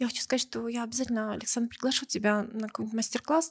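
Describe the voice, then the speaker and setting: A somewhat breathy woman's voice, fairly high in pitch with ordinary variation, in a dry, close sound with no echo. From Russia, Belgorod. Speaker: business event organizer. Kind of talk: casual interview.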